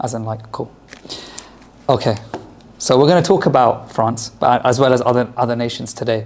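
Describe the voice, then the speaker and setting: Against noticeable background noise, the speaker keeps a moderate pace and fairly even intonation, with long, frequent pauses. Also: man. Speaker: lecturer on Islamic history. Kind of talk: lecture. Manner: loud; hesitant fillers.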